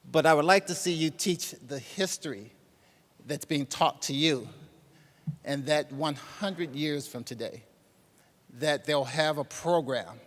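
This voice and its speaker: The delivery comes at a fairly slow pace with ordinary pitch variation. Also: man. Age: 50s. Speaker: banking executive giving a tribute speech. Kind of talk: speech to students. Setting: stage with audience.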